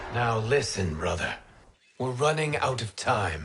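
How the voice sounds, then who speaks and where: Put-on character voice from a man, pitched at a medium level and delivered fairly slowly. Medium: video game. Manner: calm, earnest.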